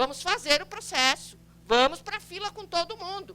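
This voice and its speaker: A woman speaks in a raised, projected voice. Her pitch swings very widely. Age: 60s. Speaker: pediatrician and public health coordinator. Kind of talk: lecture. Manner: conversational, frequent tag questions.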